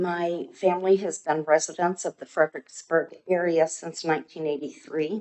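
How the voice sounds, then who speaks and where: A woman with a fairly low pitch speaks at a moderate pace in a normal speaking voice. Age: 60s. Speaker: resident speaking at public comment. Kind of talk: public comment at council meeting. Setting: city council meeting.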